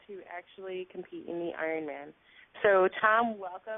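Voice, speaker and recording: A woman talks in an unremarkable speaking voice. Her pace is moderate and her pitch variation ordinary. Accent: American. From New York. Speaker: talk show host. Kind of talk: interview.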